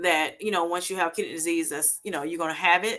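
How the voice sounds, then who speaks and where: Bright and sharp in tone, a woman with an American accent talks at a medium pitch in a very clean recording with a silent background. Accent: Southern US, comes out at times. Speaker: health vlogger. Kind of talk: livestream talk. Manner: casual, hesitant with fillers.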